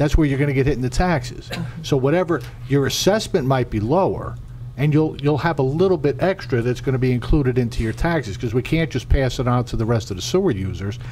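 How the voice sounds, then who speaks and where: A man's medium-pitched voice at a very fast pace, with ordinary pitch variation and noticeable background noise. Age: 60s. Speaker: township council member. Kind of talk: public meeting remarks. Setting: township council meeting.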